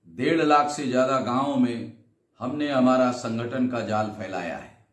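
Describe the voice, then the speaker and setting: The voice belongs to a man with fairly even intonation. Audible room echo surrounds his speech. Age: 60s. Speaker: social movement leader. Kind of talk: recorded video address.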